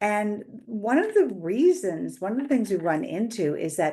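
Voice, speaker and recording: A woman speaks at a fairly slow pace in a dark, mellow tone. Her intonation is lively, and the background is quiet. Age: 60s. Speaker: financial educator. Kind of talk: direct-to-camera explainer. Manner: conversational, with filler words.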